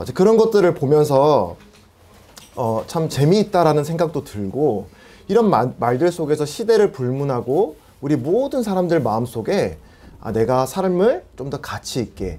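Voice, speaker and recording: A man's fairly high pitch with very wide pitch swings and a dark, mellow tone. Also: fairly slow pace. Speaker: preacher. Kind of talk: sermon. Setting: church with PA system.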